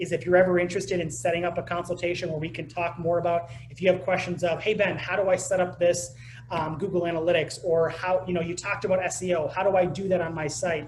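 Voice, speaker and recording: Over noticeable background noise, a man talks at a very fast pace with hardly any pauses. His pitch is high and his intonation fairly even. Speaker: digital marketing presenter. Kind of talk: webinar presentation.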